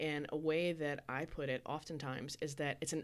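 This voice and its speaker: This woman has a very deep, low voice and speaks at a fairly slow pace. The recording is very clean, with a silent background. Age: 40s. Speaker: wife and mother, panel guest. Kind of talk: casual panel discussion.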